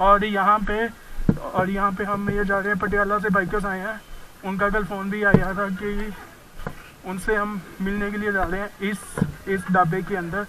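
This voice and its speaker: A man speaks in a raised, projected voice with monotone, flat intonation. Noticeable background noise runs behind him. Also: moderate pace. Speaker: motorcycle travel vlogger. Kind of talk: casual vlog commentary. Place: street. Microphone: helmet.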